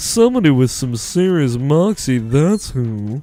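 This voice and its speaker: A man's fairly high, put-on character voice at a fairly slow pace, with music in the background. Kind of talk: classy, posh. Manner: sassy, playful.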